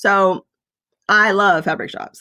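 With an American accent, a woman speaks in an ordinary speaking voice at a medium pitch and a fairly slow pace. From US South. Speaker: quilter and former nurse. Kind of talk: casual chat. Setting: studio.

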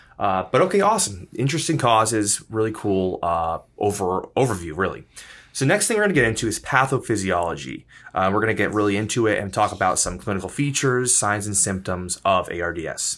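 Against a quiet background, a man with a normal speaking voice talks fairly quickly at a fairly low pitch, using ordinary pitch variation. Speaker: podcast host. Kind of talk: casual chat. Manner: upbeat.

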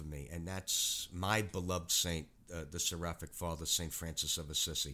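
On a very clean recording with a silent background, a man with a very deep, low voice and a bright, sharp tone speaks in a New York accent with fairly even intonation. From New York City, Queens. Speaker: retired animal cruelty officer and animal chaplain. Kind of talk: casual interview.

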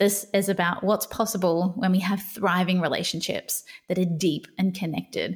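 A somewhat breathy woman at medium pitch with an Australian accent and fairly even intonation, on a very clean recording with a silent background. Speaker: podcast host and burnout coach. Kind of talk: personal storytelling monologue. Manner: unscripted, with pauses and fumbles.

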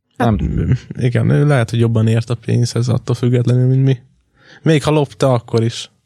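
A man speaks in a plain, everyday voice at a medium pitch and a moderate pace, with ordinary pitch variation, very even loudness, and a dry, close sound with no echo. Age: 20s. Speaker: podcast co-host. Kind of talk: casual chat.

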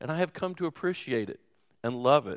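A man's voice, dry and close with no echo, on a very clean recording with a silent background. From Louisville, Kentucky. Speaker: pastor. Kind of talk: sermon.

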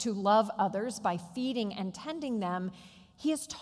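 Plain reading aloud, the delivery has lively intonation.

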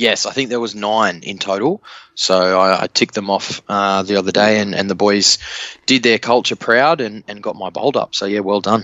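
Speaking in an Australian accent, a man with a fairly low pitch keeps a moderate pace and fairly even intonation. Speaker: rugby league podcast panelist. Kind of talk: casual chat.

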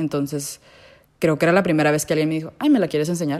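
A woman's very deep, low, dark and mellow voice with fairly even intonation. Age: 20s. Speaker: podcast guest sharing LGBTQ experience. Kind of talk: casual interview.

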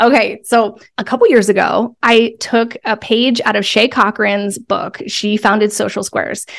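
With a plain, everyday voice, a woman speaks at a fairly slow pace and fairly high pitch, her intonation fairly even and hardly any pauses. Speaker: podcast host and business coach. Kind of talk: podcast interview, explaining a process.

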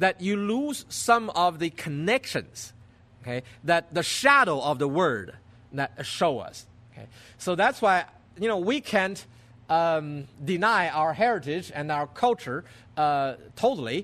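Speaking at a fairly slow pace, a man with a Chinese accent uses a high pitch that makes very wide swings. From China. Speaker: pastor. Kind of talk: sermon. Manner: halting.

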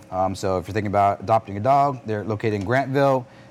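This man has an ordinary speaking voice with an American accent. His pitch sits fairly low and varies in an ordinary way. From New York City. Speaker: risk manager and retired army officer. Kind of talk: casual interview. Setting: in a bar.

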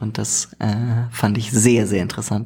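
A man's fairly low, dark, mellow voice with vocal fry, fairly even intonation and a very slow pace. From Germany. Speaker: podcast host. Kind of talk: casual interview chat. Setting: studio, evening recording.

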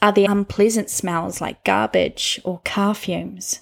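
A woman speaks fairly slowly in a calm, soothing, somewhat breathy tone. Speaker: meditation guide. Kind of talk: guided meditation. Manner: slow, calm, soothing, with long pauses between prompts.

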